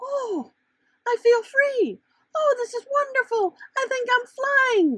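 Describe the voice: Using a put-on character voice, a woman speaks slowly at extremely high pitch with lively intonation. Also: fairly bright tone.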